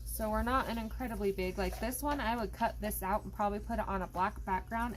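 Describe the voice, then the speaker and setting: A woman talking at a very fast pace, with audible room echo. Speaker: coloring hobby YouTuber. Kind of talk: casual tutorial.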